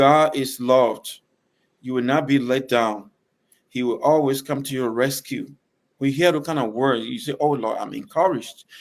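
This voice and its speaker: This very clean recording with a silent background has a man with a Liberian accent speaking at a fairly high pitch and moderate pace, his intonation fairly even. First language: Bassa. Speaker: gospel singer. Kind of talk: interview.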